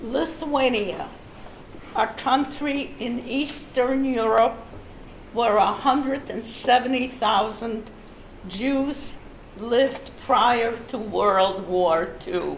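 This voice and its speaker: A woman's fairly high voice at a very slow pace, with noticeable background noise. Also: ordinary pitch variation. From Lithuania. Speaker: Holocaust survivor. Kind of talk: personal testimony talk.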